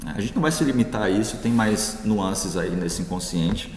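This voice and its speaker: A man talks at a fairly quick pace. Audible room echo and noticeable background noise are present. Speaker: philosophy professor. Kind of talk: lecture. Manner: hesitant fillers.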